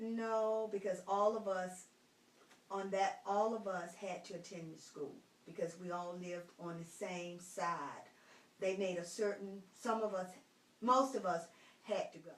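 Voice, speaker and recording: A woman with an American accent at a medium pitch, fairly slow and fairly even in intonation, with audible room echo. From North Carolina, Roanoke Rapids. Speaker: retired school teacher. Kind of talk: interview.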